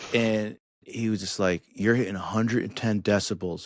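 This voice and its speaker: Speaking at a moderate pace, a man with an American accent has a fairly low pitch. The recording is very clean, with a silent background. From US Northeast, New Jersey. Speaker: musician and recovery advocate. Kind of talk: casual interview chat. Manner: loud; animated.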